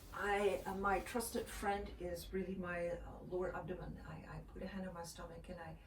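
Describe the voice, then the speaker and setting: Amid noticeable background noise and audible room echo, a woman with a Dutch accent speaks at a moderate pace. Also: hardly any pauses. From Netherlands, Amsterdam. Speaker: mother sharing breastfeeding tips. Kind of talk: casual vlog talk. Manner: halting, many fillers.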